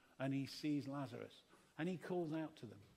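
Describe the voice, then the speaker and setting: A man in an English accent speaks with ordinary pitch variation. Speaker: preacher. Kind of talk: sermon. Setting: church service.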